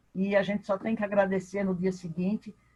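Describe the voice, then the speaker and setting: The woman's voice is somewhat breathy, with a dark, mellow tone. She speaks at a medium pitch and a moderate pace. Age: 60s. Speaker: participant in spiritist study class. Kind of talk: personal testimony in online class.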